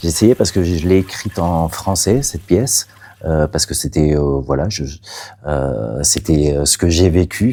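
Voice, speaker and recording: The intonation is lively and the pace fairly slow. Noticeable background noise can be heard. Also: man, very deep, low pitch for a man. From Catalonia, Spain. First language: Catalan (speaking French). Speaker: playwright. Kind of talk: interview. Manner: halting, many hesitations.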